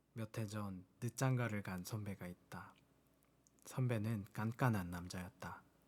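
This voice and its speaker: A man speaks very slowly at a fairly low pitch, his intonation fairly even. His tone is calm yet strained. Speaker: audiobook reader. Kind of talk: book reading. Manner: calm, plain, restrained; soft-spoken ASMR style.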